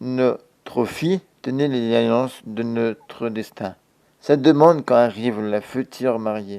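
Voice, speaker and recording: Pitched in the middle range, a man with a dark, mellow tone speaks at a very slow pace with fairly even intonation. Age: 20s. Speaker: storyteller. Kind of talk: reading aloud.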